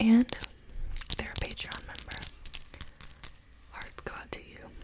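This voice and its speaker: Whispering at a fairly slow pace, a woman shifts in big swings of loudness. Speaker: ASMR creator. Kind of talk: ASMR video. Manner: whispered. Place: home room. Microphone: phone near.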